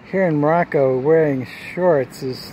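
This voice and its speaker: Over noticeable background noise, a man with an American accent talks at a fairly slow pace in a relaxed tone, his fairly high pitch rising and falling in an ordinary way. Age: 60s. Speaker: vlogger. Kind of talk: casual vlog narration. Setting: outdoors. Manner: relaxed, conversational.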